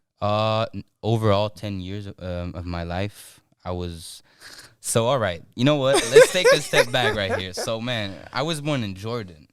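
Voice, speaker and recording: Big swings in loudness mark this man's fairly slow speech, which has ordinary pitch variation. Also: fairly low pitch for a man. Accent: American. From Belgium (Brussels), also Turkey and Brazil. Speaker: rapper. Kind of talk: podcast interview. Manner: halting, many fillers.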